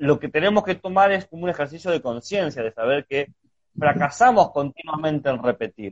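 With an unremarkable speaking voice, a man talks at a fairly quick pace with lively intonation. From Argentina (Chubut, Patagonia). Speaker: podcast host. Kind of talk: casual conversation about health and philosophy. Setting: video call / Instagram live. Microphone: connection glitch.

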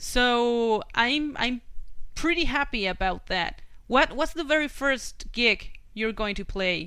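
A voice with a Spanish accent and a bright, sharp tone moves at a very slow pace with lively intonation. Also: woman, high pitch for a woman. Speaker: podcast host. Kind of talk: interview.

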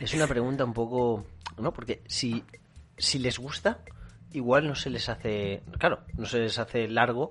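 Medium pitch, ordinary pitch variation and a fairly slow pace from a man. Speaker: podcast co-host. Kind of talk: casual chat.

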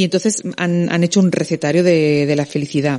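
A woman with a dark, mellow tone speaks at a fairly low pitch. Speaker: radio host. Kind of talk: late-night radio talk show with callers. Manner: hesitant, repeats words.

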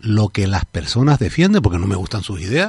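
Against a quiet background, a man's somewhat breathy voice comes at a moderate pace with a dry, close sound and no echo. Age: 50s. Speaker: politician. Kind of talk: radio interview. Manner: halting.

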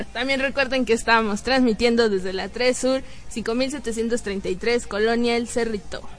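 With a Mexican accent, a woman speaks at a fairly slow pace in a fairly high pitch and with fairly even intonation. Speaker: youth radio host. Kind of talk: casual radio chat.

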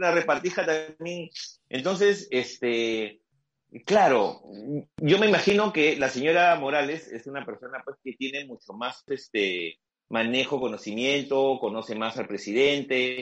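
The speaker goes at a fairly slow pace, with lively intonation and big swings in loudness. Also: man, fairly high pitch for a man. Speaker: journalist. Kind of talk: casual chat.

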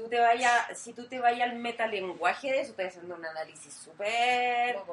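Speaking in a Chilean accent, a woman uses a fairly high pitch and ordinary pitch variation at a fairly slow pace. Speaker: podcast co-host. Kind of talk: casual chat.

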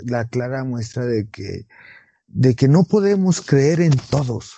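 Somewhat breathy and fairly high-pitched, a man with a Mexican accent speaks at a very slow pace with lively intonation. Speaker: podcast co-host. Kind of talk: casual chat.

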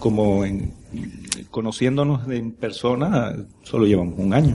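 At a moderate tempo, a dark, mellow tone carries typical rises and falls in pitch. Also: man. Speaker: podcaster. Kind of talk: casual panel chat. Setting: live event in a brewery.

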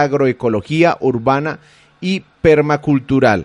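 A man with a plain, everyday voice and fairly high pitch speaks with fairly even intonation in a dry, close sound with no echo. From Colombia. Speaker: radio host. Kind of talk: live panel discussion hosting. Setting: live streamed radio studio.

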